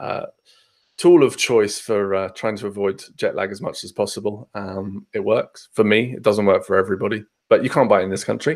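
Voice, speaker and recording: Talking at a fairly quick pace in a southern English accent, a man makes big swings in loudness. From southern England, Hampshire. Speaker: podcast guest, tech traveller. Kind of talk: casual chat. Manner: many fillers (um, uh).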